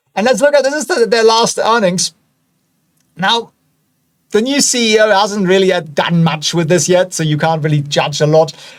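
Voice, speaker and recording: Someone with a German accent speaks at a moderate pace with lively intonation and long, frequent pauses. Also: man, high pitch for a man. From Germany. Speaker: stock analysis video host. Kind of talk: casual, chatty.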